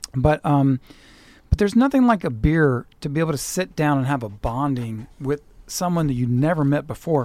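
A man at a fairly high pitch, moderate pace and ordinary pitch variation. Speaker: radio host. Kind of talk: casual interview chat. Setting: studio. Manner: halting, filler-heavy.

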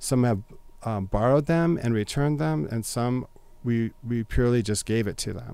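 Lively intonation runs through a man's medium-pitched voice. His tone is dark and mellow. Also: moderate pace. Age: 50s. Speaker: music teacher. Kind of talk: casual chat.

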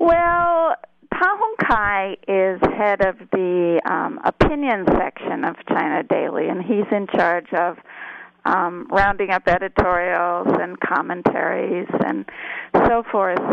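Over noticeable background noise, a woman with an American accent speaks at a very slow pace, medium in pitch with ordinary pitch variation. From US. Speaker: journalism professor. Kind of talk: interview. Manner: halting.

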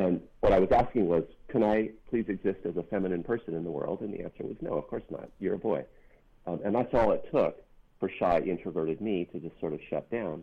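Speaking at a fairly quick pace with an American accent, a man uses a fairly low pitch and ordinary pitch variation. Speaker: author and activist. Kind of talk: interview about a book, with a reading.

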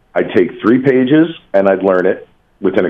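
A man at a very fast pace, with an American accent and ordinary pitch variation. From New Jersey. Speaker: actor. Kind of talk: casual radio interview.

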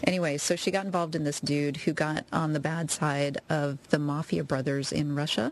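Amid noticeable background noise, a woman with a very deep, low pitch talks at a moderate pace with hardly any pauses and fairly even intonation. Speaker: radio co-host. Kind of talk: casual chat. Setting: live radio studio.

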